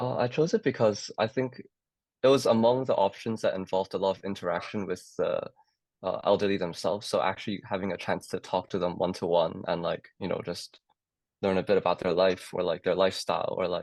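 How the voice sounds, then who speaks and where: A man with a Cantonese accent speaks at a fairly quick pace. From Hong Kong. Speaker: medical student. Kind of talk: casual chat. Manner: hesitant, many fillers.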